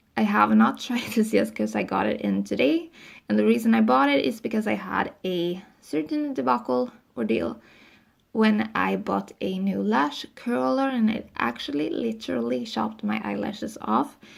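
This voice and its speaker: A woman with a non-native accent at a moderate pace, in a very clean recording with a silent background. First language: not English. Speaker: beauty vlogger. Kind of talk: casual product review. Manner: casual, with filler ums.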